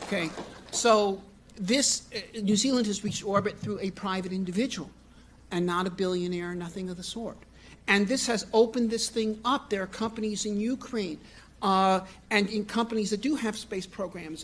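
Fairly even intonation runs through speech delivered at a moderate pace. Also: man, high pitch for a man. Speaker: conference speaker. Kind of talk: lecture. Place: hall. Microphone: podium.

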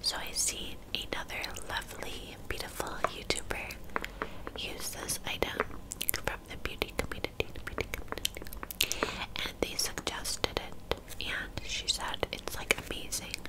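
A soft-spoken woman whispers at a fairly slow pace over loud background noise. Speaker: beauty video creator. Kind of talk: casual vlog chat. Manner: soft close-mic whisper. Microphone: studio mic.

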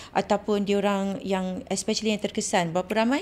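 A woman speaks with fairly even intonation. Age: 40s. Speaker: former flight attendant; podcast guest. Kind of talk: casual chat. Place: studio. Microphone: studio mic.

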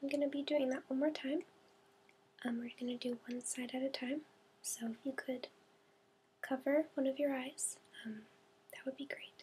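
A soft-spoken woman with a high pitch and a dark, mellow tone talks at a moderate pace with fairly even intonation. She leaves long, frequent pauses over light background noise. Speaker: demonstrator of an eye exam. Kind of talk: role-play clinical instructions. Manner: soft, quiet ASMR-style instruction. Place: home room. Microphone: webcam.

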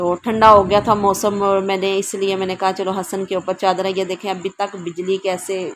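At a moderate pace, a woman talks at a medium pitch with little pitch movement.

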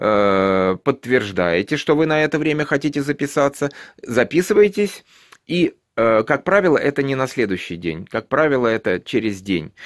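Speaking at a moderate speed, a man uses lively intonation over quiet surroundings. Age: 50s. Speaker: YouTube vlogger. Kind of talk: tutorial. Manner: casual, with many filler sounds. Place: home room. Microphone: phone near.

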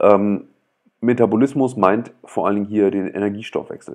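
The background stays quiet while a man talks. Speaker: author reading own book on livestream. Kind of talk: reading aloud with commentary. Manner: hesitant, many fillers; loud. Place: home room. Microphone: earbuds.

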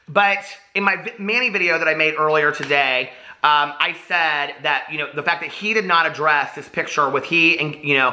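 Ordinary pitch variation marks the speech of a man talking at a moderate pace. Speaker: drama commentary vlogger. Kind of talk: commentary. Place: home room.

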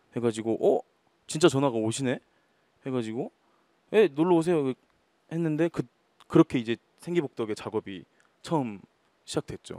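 Using lively intonation and long, frequent pauses, a man talks at a fairly quick pace with a fairly high pitch and a dark, mellow tone. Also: quiet background, dry sound with no echo. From Naju, Jeolla, South Korea; Jeolla, South Korea. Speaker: rock guitarist; guest. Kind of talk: casual talk show interview. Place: stage. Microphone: handheld.

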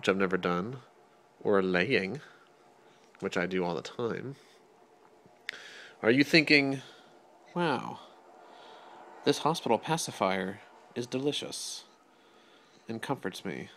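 Long pauses come often in this man's speech. His delivery is fairly slow. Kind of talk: playful narration to baby. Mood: gentle, amused. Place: home room. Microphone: phone near.

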